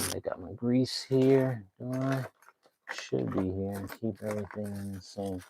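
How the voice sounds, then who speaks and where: A man speaks quietly at a fairly slow pace. His pitch is fairly low, with ordinary variation. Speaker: vlogger doing a live stream. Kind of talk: casual live-stream tutorial. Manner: quiet while focusing.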